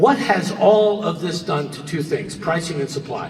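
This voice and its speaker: An American accent marks a man's high-pitched speech at a moderate pace with ordinary pitch variation, heard through audible room echo and noticeable background noise. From New Jersey. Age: 60s. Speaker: real estate broker. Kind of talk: conference presentation. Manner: animated.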